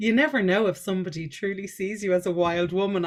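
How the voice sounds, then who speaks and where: Here a woman speaks with a Dublin accent. Her pace is fairly quick. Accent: Irish (Dublin). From Ireland, Dublin. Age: 40s. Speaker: life coach and energy healer. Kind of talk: podcast interview.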